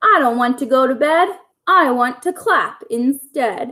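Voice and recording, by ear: Putting on a character voice, a woman talks at a fairly slow pace with a high pitch, a bright, sharp tone and lively intonation.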